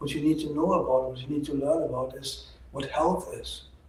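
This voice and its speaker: Amid noticeable background noise and audible room echo, a man's fairly fast speech comes through. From Germany. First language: German. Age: 60s. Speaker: doctor. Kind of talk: opinion monologue.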